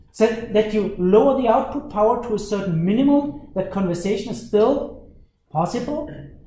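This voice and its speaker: In a room with audible echo, a man speaks at a moderate pace with a high pitch. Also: ordinary pitch variation. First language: German. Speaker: university lecturer. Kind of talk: lecture. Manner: animated.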